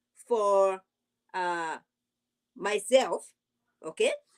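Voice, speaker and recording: A woman talks with an African accent. The recording is dry and close, with no echo. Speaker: YouTube reality TV commentator. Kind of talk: live stream commentary. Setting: livestream. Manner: animated.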